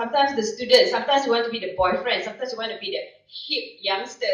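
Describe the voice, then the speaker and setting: A woman with a Malaysian accent speaks at a high pitch with lively intonation, and audible room echo surrounds her voice. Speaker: professor. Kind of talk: conference presentation. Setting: stage with audience. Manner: animated.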